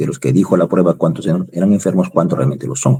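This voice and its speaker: In a very deep, low pitch, a man speaks with a dark, mellow tone and vocal fry. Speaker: university lecturer. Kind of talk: online lecture.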